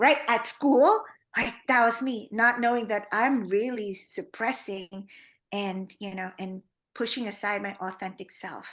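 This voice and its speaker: Against a quiet background, a woman with a Filipino accent speaks at a fairly slow pace and a fairly high pitch, with ordinary pitch variation and big swings in loudness. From Philippines. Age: 40s. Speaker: trauma therapist. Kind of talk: podcast interview. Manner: many fillers, halting.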